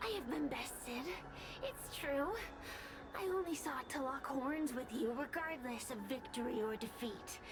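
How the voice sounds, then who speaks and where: A female-sounding voice, high-pitched and put on as a character, moves at a moderate pace. Loud noise fills the background. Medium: video game. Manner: proud, scornful.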